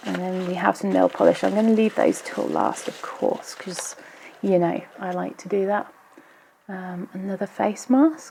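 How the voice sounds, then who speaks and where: At a moderate pace, a woman speaks quietly. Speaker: nail polish YouTuber. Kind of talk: casual unboxing talk to camera. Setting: traffic noise in background. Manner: a bit quiet in places.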